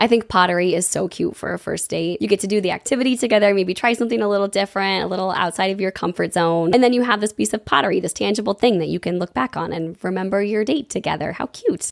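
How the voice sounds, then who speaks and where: Speaking very fast with hardly any pauses, a woman uses a medium pitch and ordinary pitch variation in a dry, close sound with no echo. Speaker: local city guide. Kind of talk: casual talk to camera.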